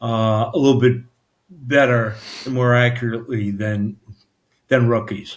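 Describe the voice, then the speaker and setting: In a New York accent, a man speaks at medium pitch and a fairly slow pace, with monotone, flat intonation and long, frequent pauses. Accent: Brooklyn-like New York. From New York City area, Staten Island. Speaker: author. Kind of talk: interview. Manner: halting, many fillers.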